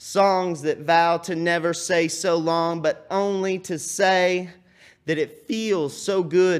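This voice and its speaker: In a Texan accent, a man speaks at a very slow pace. His pitch is high, with ordinary variation. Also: very clean recording, silent background. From Texas (Cedar Creek Lake). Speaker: poet. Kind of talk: poetry performance. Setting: TV studio stage.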